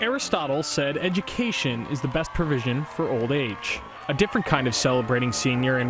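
A man speaks at a fairly quick pace in a fairly high pitch, his intonation lively, with music playing in the background. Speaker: TV news reporter. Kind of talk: TV news report.

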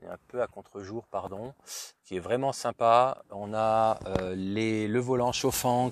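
A man speaks at a very slow pace. The sound is dry with no echo, with light background noise. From French-speaking Switzerland. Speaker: car reviewer YouTuber. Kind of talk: car review vlog. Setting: at a car dealership and in a car. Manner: hesitant, many fillers. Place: car. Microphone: phone near.

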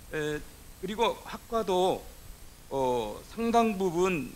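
The man's pitch swings very widely. His voice is fairly high. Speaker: symposium moderator, professor. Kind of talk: panel discussion moderation. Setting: stage with audience. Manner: formal. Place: hall. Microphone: podium.

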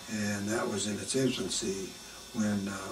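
A man speaks at a moderate pace with a fairly low pitch and ordinary pitch variation. Noticeable background noise is present. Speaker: oral history interviewee. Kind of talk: oral history interview answer. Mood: warm, amused, smiling. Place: home room.

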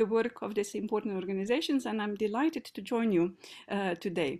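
A woman at a fairly quick pace with ordinary pitch variation against a quiet background. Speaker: keynote speaker. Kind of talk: lecture. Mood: warm, enthusiastic. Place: home room. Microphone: video call.

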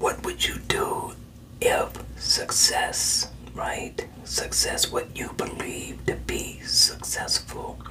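Very slowly, a man speaks in a whisper. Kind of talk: counseling session talk to a client. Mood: calm, encouraging. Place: office. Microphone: webcam.

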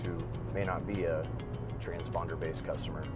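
A man talks in a dry sound with no echo while clear music plays behind him. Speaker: guest. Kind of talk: interview answer. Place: car. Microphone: lapel.

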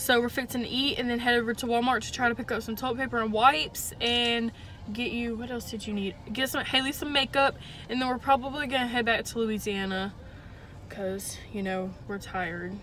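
Speaking at a fairly quick pace, a woman keeps a fairly high pitch with fairly even intonation.

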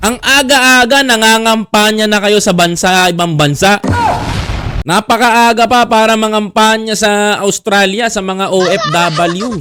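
Raising and projecting his voice, a man speaks at a fairly slow pace and high pitch, with ordinary pitch variation, over noticeable background noise. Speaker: commentator. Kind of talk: angry political rant. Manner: indignant, sarcastic, emphatic; animated, repeatedly addressing audience.

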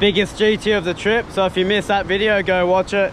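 At a moderate pace, a man speaks with a high pitch and fairly even intonation.

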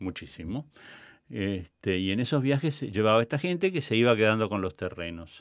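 A man with a plain, everyday voice speaks at a moderate pace and a fairly low pitch, recorded very cleanly against a silent background. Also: lively intonation. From Argentina, La Pampa. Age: 60s. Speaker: theatre director and cultural manager. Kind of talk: interview. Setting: studio.

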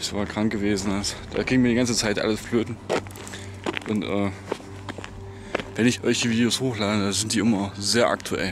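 Music plays in the background as a man talks at a fairly quick pace, with a dry sound and no echo. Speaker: lost-place vlogger. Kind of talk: casual vlog chat. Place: open country. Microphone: phone near.

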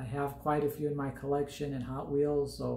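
Speaking at a moderate pace, a man's voice carries audible room echo. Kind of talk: casual vlog chat. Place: home room. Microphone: phone near.

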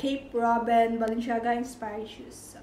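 Over light background noise and audible room echo, a woman with a high-pitched voice talks at a fairly slow pace. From Visayas, Philippines. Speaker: YouTuber. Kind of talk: casual vlog show-and-tell. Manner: halting, many fillers. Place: home room. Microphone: phone near.

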